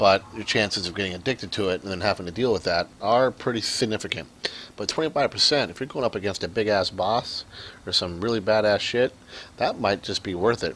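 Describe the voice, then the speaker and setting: The speaker goes at a fairly quick pace with ordinary pitch variation. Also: man, fairly low pitch for a man. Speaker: gaming tutorial maker. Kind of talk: gameplay tutorial. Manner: hesitant, many fillers.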